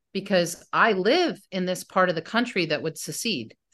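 A woman with an unremarkable speaking voice and an American accent, fairly low in pitch, with ordinary pitch variation. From US North, mostly New Jersey. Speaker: novelist. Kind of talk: interview.

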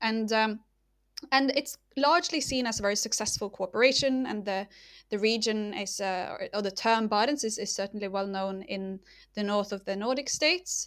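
In a Norwegian accent, a woman talks at a moderate pace and fairly high pitch with ordinary pitch variation, recorded very cleanly against a silent background. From northern Norway. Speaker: political geography lecturer. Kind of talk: interview. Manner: hesitant, many fillers.

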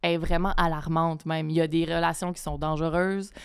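The recording is very clean, with a silent background. A woman with a fairly low pitch speaks at a fairly quick pace. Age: 30s. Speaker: writer. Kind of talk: casual chat.

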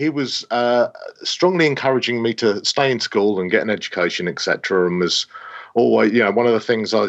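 Speaking at a fairly quick pace, a man with an English accent uses ordinary pitch variation. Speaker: space scientist. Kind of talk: interview. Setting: remote call from office.

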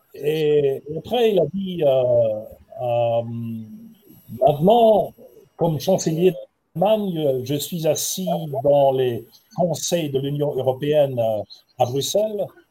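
Very slowly and with long, frequent pauses, a man speaks at fairly high pitch in a dark, mellow, somewhat breathy tone with lively intonation. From Germany (Heidelberg). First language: German (speaking French). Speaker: ambassador. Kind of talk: panel talk. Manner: halting.

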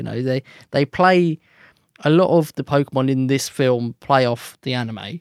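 In an unremarkable speaking voice, a man of medium pitch talks at a moderate pace with ordinary pitch variation, the sound dry and close with no echo. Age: 20s. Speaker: musician. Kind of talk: casual chat.

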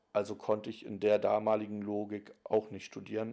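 Here a man talks at a moderate pace in a dark, mellow tone. His pitch sits fairly low. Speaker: interviewee. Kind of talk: recorded interview.

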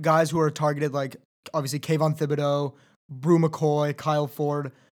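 On a very clean recording with a silent background, a man with an American accent speaks at a fairly quick pace. He has an unremarkable speaking voice with fairly high pitch. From Southern California. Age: 20s. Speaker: podcast host. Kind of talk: interview. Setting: studio.

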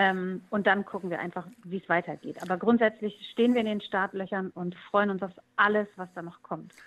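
An ordinary speaking voice at a moderate pace, fairly even intonation, big swings in loudness, and a quiet background. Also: woman, medium pitch for a woman. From East Frisia, northern Germany. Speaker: musician. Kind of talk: interview.

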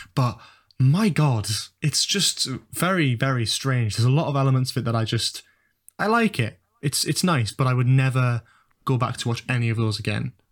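A somewhat breathy man at very even loudness, with long, frequent pauses. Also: medium pitch for a man, ordinary pitch variation, moderate pace. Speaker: YouTuber, university student. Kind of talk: casual chat. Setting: online call.

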